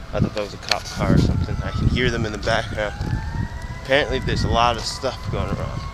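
The speaker goes at a moderate pace with ordinary pitch variation, the sound dry with no echo and loud background noise behind. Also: man. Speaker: long-distance walker vlogger. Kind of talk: casual vlog chat. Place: street. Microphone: phone near.

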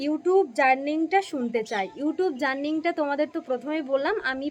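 A woman with a high pitch and ordinary pitch variation talks through noticeable background noise. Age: young. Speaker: vlogger. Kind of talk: Q&A vlog reading viewer comments.

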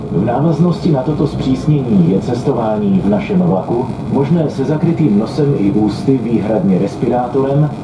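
Through loud background noise, a man speaks at a moderate pace with hardly any pauses. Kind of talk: public announcement. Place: train.

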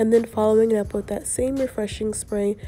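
A woman's voice with music in the background. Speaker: hair tutorial creator. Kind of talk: hair tutorial talk to camera.

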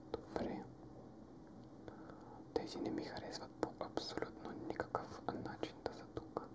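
A man whispering at a very slow pace, with long, frequent pauses and noticeable background noise. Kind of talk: ASMR gaming commentary. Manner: whispered.

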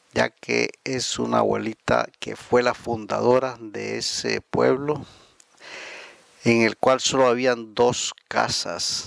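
A man talks at a very slow pace, the sound dry and close with no echo. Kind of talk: channel intro to viewers.

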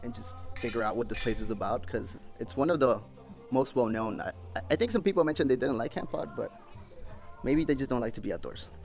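A man talking at a very fast pace, with faint music in the background. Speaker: travel vlogger. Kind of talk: casual vlog chat. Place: gym. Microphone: phone near.

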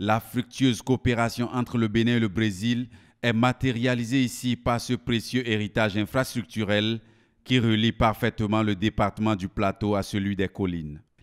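A man with a plain, everyday voice at a medium pitch and moderate pace, the sound dry and close with no echo. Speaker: news reporter. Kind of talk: news reading, scripted voice-over report. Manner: formal, polished, lyrical delivery with flowery praise.

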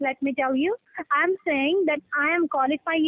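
This woman's intonation stays fairly even. The sound is dry, with no echo. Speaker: caller. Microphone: phone line.

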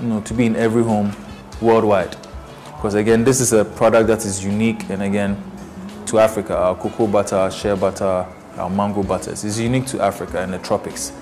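A man's fairly low voice with fairly even intonation at a very fast pace, faint music in the background. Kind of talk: interview answer. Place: studio. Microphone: lapel.

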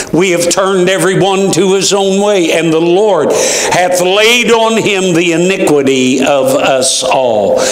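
There is audible room echo as a man with a high pitch talks at a fairly slow pace with ordinary pitch variation. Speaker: preacher. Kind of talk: scripture reading in a sermon. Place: church.

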